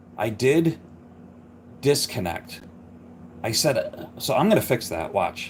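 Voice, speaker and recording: A man mumbles at a fairly slow pace, with long, frequent pauses and very wide pitch swings. Noticeable background noise runs underneath. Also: medium pitch for a man. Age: 50s. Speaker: car hobby YouTuber editing videos. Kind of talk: casual live-stream editing tutorial. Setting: live stream at home. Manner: mumbling; casual, self-deprecating chatter.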